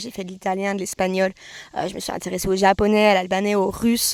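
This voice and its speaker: A woman at a fairly quick pace, her sound dry and close with no echo. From France. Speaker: vlogger. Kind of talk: casual Q&A monologue. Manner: hesitant, with false starts.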